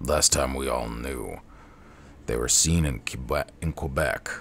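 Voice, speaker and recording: In a put-on character voice, a man growls at a very deep, low pitch and a fairly slow pace, with clear background noise behind him. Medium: game stream. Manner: gruff, stubborn.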